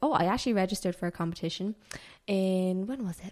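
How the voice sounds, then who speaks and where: A woman speaks with an Irish accent. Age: 20s. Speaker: personal trainer and powerlifter. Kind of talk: casual chat.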